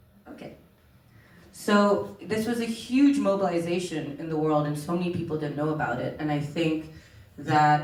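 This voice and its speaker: Amid noticeable background noise and audible room echo, a woman with a very deep, low pitch talks at a moderate pace with lively intonation. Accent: American. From Oman (Indian, grew up in Middle East). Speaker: documentary filmmaker. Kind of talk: panel conversation.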